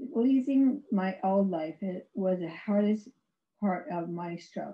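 A woman is speaking. Her pace is very slow. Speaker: stroke survivor and author, former professor. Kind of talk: prepared personal testimony presentation. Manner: halting, effortful speech due to aphasia. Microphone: video call.

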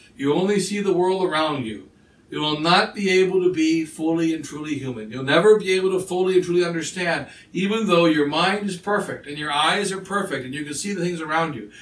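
Audible room echo surrounds speech delivered at a fairly quick pace with ordinary pitch variation. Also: man, high pitch for a man. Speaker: priest. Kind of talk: sermon. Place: home room. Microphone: camera far.

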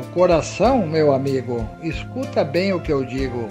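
A man's medium-pitched voice with very wide pitch swings, at a very slow pace over background music. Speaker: poet. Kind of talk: poetry reading.

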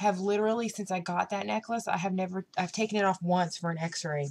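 A woman talks with fairly even intonation. Light background noise can be heard. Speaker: vlogger. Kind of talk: casual vlog chat. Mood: upset, slightly emotional. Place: home room. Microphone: webcam.

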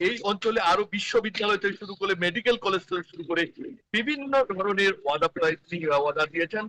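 Raising and projecting his voice, a man speaks high for a man in a bright, sharp tone with ordinary pitch variation. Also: dry, close sound with no echo. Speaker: field reporter. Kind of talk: live news report. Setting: outdoors at a market. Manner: halting.

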